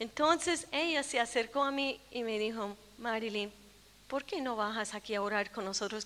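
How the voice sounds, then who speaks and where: Pitched high, a woman talks at a moderate speed with ordinary variation in her pitch. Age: 60s. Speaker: preacher. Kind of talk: sermon.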